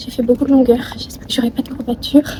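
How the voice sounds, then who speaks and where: Noticeable background noise sits behind the speaker. The delivery is fairly quick and flat, in a monotone. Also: woman. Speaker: vlogger. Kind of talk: casual vlog narration.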